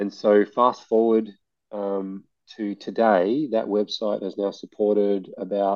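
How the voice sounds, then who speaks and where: Speaking with an Australian accent, a man takes a fairly slow pace. His pitch is fairly low and his intonation fairly even. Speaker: playground nonprofit founder. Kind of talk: interview. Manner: halting.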